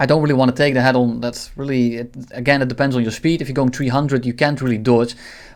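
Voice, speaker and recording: Very fast speech in a non-native accent. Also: man, very clean recording, silent background. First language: not English. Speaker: gaming tutorial creator. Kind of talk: tutorial. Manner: halting.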